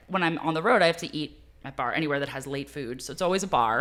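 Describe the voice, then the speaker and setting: Over music in the background, a woman speaks very fast in a very deep, low pitch with ordinary pitch variation. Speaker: stand-up comedian. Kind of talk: casual chat.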